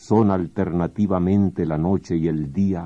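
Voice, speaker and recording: Over a quiet background, a man speaks at a very slow pace in a very deep, low pitch, his tone dark and mellow and his intonation fairly even. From Venezuela. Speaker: poet. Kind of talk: poetry reading. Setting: radio studio. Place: studio.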